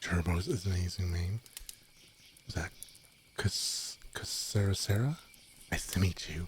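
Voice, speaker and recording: Soft-spoken and somewhat breathy, a man talks at a fairly slow pace with a very deep, low pitch, fairly even intonation, and long, frequent pauses. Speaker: streamer. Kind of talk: softspoken ASMR chat stream. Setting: streaming from home bedroom. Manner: quiet.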